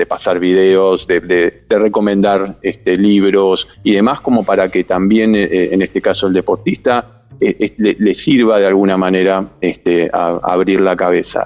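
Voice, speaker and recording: Speaking at a fairly slow pace, a man holds a fairly low pitch, very even loudness, and fairly even intonation. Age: 50s. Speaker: sports psychologist. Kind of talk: interview. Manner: halting.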